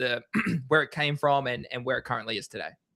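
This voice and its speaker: Bright and sharp in tone, a man talks with an Australian accent. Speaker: crypto livestream host. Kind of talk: livestream chat. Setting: livestream.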